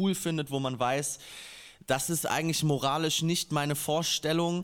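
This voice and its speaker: The recording is very clean with a silent background, as a man with a normal speaking voice talks at a moderate pace with fairly even intonation. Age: 20s. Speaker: rapper. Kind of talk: casual chat.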